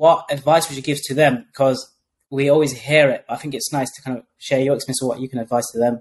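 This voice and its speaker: A man talks at a very fast pace in a somewhat breathy, fairly high voice with fairly even intonation. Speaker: podcast host. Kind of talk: interview.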